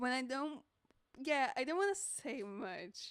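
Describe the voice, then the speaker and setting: With a Portuguese accent, a woman speaks at a very slow pace in a high pitch, her voice making very wide pitch swings. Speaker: streamer drawing live commissions. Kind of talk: casual live stream chat. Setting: friend's home studio, live stream. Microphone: mic very close, bumping mouth.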